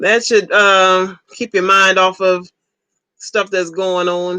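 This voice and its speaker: The speaker talks at a very slow pace with a Southern US accent. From Ohio, US. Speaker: livestreamer. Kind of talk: casual chat. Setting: live stream.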